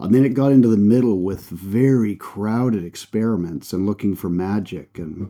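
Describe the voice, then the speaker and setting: A man with a Canadian accent speaks in a fairly low pitch with a dark, mellow tone and ordinary pitch variation. The recording is very clean, with a silent background. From Canada. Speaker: performance coach and speaker. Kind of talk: interview conversation.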